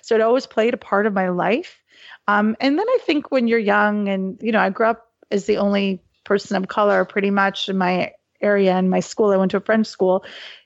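A woman's normal speaking voice at medium pitch, with a Canadian accent, fairly even intonation, very even loudness and a fairly quick pace. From Canada, Halifax, Nova Scotia. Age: 40s. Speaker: sports journalist and activist. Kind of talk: interview conversation.

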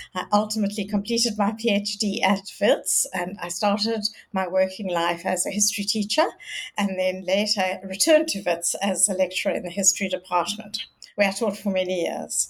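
Noticeable background noise sits behind a woman's voice. She talks at a moderate pace and medium pitch, with fairly even intonation. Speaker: historian. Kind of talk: interview.

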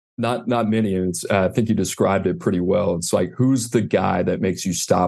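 A man with an American accent talks at a fairly quick pace, his dark, mellow tone carrying vocal fry and ordinary pitch variation. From US South, New Orleans. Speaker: recruiting analyst, former college football staffer. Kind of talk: casual interview.

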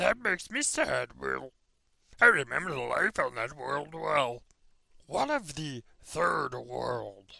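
A man puts on a raspy character voice and talks at a fairly slow pace. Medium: audio drama. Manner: gloomy, complaining.

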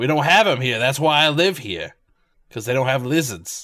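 A man does a gruff put-on character voice in a Brooklyn accent, pitched in the medium range. His intonation is lively and his pace moderate. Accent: rough Brooklyn. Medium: actual play. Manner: blunt, rambling.

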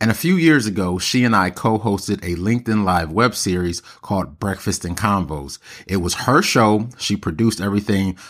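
Fairly low in pitch, a man speaks with an animated tone at a moderate pace. The recording is very clean and the background silent. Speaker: podcast host. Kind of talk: casual interview chat. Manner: animated, slangy.

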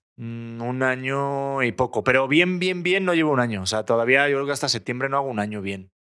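The man's voice sits at a medium pitch with a bright, sharp tone and ordinary rises and falls. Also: hardly any pauses. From Spain. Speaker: TV presenter and actor. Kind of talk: casual chat. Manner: fast.

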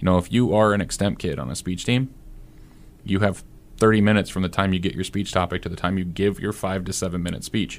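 A man's very deep, low voice with a Midwestern American accent at a very fast pace. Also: ordinary pitch variation. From Nebraska, US Midwest. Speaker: debate coach. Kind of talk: casual chat.

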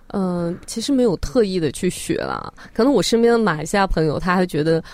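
Lively in intonation and fairly quick, a woman speaks over noticeable background noise. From Xinjiang, northwest China. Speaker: social media video creator. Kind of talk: radio interview.

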